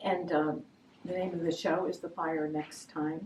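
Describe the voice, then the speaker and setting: Taking a fairly slow pace, a woman with an American accent talks at a fairly low pitch. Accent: New Jersey accent, noticed by others. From New Jersey. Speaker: artist. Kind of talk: interview about her artwork. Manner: halting, many fillers.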